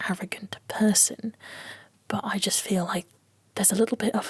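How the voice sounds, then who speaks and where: A soft-spoken whisper moves along at a moderate pace. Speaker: book reviewer. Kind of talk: ASMR book review. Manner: whispered, soft-spoken.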